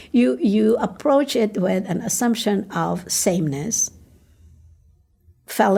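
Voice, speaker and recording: A somewhat breathy woman with a Filipino accent, lively intonation and a fairly slow pace. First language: Tagalog. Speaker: ministry coach. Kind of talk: podcast interview.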